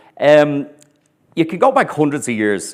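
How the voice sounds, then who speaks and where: In a very clean recording with a silent background, a man with an Irish accent speaks with ordinary pitch variation. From Ireland. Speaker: historian and tour guide. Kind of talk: lecture. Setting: stage with audience. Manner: deliberately clear.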